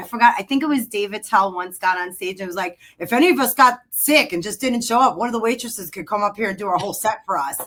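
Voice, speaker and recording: Talking at a fairly quick pace, a woman with a strong New York accent shows ordinary pitch variation. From New York City. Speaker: realtor. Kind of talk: casual interview chat. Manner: careful enunciation.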